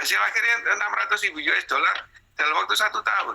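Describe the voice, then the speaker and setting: A man talking at a very fast pace. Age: 70s. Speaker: export businessman. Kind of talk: testimony. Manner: halting.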